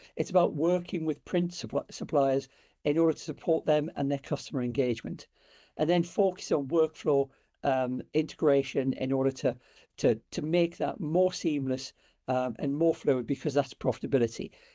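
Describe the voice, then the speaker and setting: At a moderate pace, a man with a British accent speaks with a fairly high pitch. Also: ordinary pitch variation. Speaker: sales director. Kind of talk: webinar presentation. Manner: hesitant, many fillers.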